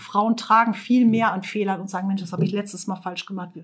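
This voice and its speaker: There is some breathiness in the voice. The intonation holds fairly even. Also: woman. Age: 40s. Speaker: construction company owner. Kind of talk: interview.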